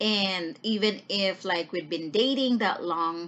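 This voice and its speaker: Speaking at a fairly slow pace, the voice has a Filipino accent and ordinary pitch variation. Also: woman. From Philippines. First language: Tagalog. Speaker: vlogger. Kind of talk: casual vlog talk, mixing English and Tagalog. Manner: hesitant, with many fillers and repeated words.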